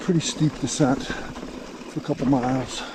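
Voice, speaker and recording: Amid noticeable background noise, a man with a fairly high pitch speaks with ordinary pitch variation. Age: 60s. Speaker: mountain biker vlogger. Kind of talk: casual chat. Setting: outdoors. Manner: casual, relaxed.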